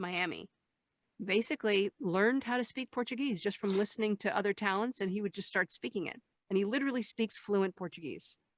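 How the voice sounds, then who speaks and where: A woman with a plain, everyday voice and a medium pitch talks at a fairly quick pace, with a dry, close sound with no echo. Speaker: voice actress. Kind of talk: interview answer. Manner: conversational, talkative.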